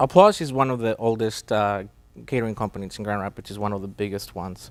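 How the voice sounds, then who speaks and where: A man with a Spanish accent, very fast delivery, fairly low pitch, ordinary pitch variation and big swings in loudness, on a very clean recording with a silent background. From Mexico. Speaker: catering company president. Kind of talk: interview. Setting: studio. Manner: hesitant, many fillers.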